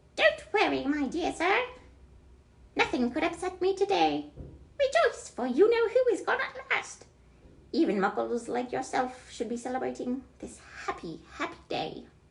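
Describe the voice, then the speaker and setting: Squeaky and pitched extremely high, a put-on character voice comes out at a moderate pace. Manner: joyful, exuberant.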